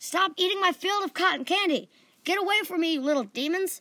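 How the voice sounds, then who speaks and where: A woman shouting fairly quickly in a put-on character voice, extremely high in pitch, with ordinary pitch variation. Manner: frantic, shouting.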